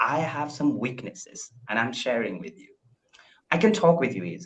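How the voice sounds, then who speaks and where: A man with an Indian accent, his pitch swinging very widely. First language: Indian language. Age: 20s. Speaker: English learner. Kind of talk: casual chat.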